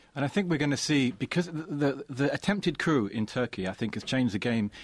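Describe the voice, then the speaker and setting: A man talks at a very fast pace with a medium pitch. The sound is dry and close with no echo, over a quiet background. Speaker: journalist panelist. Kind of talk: panel discussion.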